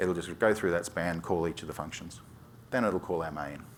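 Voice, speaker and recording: In an Australian accent, a man speaks with a very deep, low pitch. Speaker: software developer, conference speaker. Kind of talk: technical conference talk. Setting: stage with audience. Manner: fast, skips syllables; hesitant fillers.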